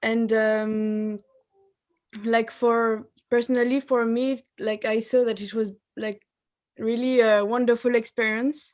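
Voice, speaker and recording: In a French accent, a woman speaks very slowly. Her pitch is fairly high. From France. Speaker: married participant sharing experience. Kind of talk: testimony. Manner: halting.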